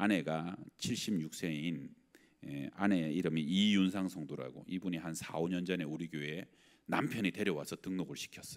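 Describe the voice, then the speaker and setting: With ordinary pitch variation, a man talks in a very deep, low pitch. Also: moderate pace. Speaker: pastor. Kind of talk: sermon. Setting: church. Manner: conversational.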